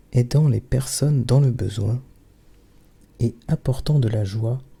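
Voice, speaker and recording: Soft-spoken and somewhat breathy, a man talks at a very slow pace in a medium pitch with a dark, mellow tone and ordinary pitch variation. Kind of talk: bedtime story reading.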